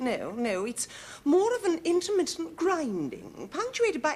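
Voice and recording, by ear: Putting on a character voice, a woman talks at a fairly slow pace in a high register with a slightly mellow tone and very wide pitch swings.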